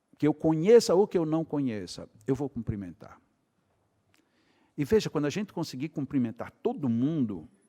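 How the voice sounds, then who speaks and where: A man speaks at a fairly quick pace with very wide pitch swings. The sound is dry and close with no echo, on a very clean recording with a silent background. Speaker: spiritist lecturer. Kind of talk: lecture. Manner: animated.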